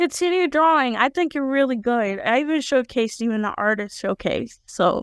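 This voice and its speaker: Speaking at a moderate pace with hardly any pauses, a woman uses a high pitch and lively intonation. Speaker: podcast host. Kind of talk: casual chat.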